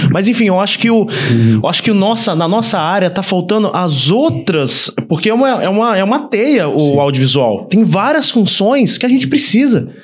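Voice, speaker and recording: With very wide pitch swings and hardly any pauses, a high-pitched man speaks at a moderate pace and very even loudness, amid noticeable background noise and audible room echo. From Volta Redonda, interior of Rio de Janeiro state, Brazil. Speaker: filmmaker and production company owner. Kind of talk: casual chat.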